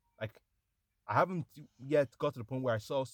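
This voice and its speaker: Delivered at a very fast pace, the voice sounds dry and close with no echo. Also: man. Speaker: podcast co-host. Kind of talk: casual chat.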